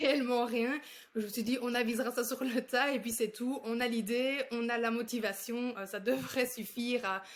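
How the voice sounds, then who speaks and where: At a moderate pace, a woman speaks with a high pitch and monotone, flat intonation. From Belgium. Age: 20s. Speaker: speech therapist and entrepreneur. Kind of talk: interview.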